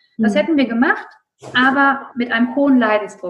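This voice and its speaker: A woman with an ordinary speaking voice talks at a fairly quick pace, her fairly high pitch showing ordinary pitch variation. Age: 30s. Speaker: occupational therapist and coach. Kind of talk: interview.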